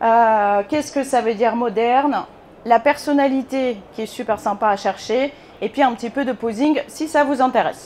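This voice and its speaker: A woman's voice sits high. She talks at a fairly slow pace. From Bulgaria. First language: Bulgarian (speaking French). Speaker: photographer. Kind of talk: conference talk. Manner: hesitant, many fillers.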